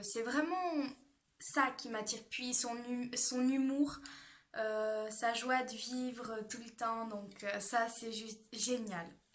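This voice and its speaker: A woman's fairly high-pitched voice at a very slow pace, with audible room echo. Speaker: beauty youtuber. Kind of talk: casual vlog talk. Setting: at home. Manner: hesitant, many fillers; speaks louder than usual.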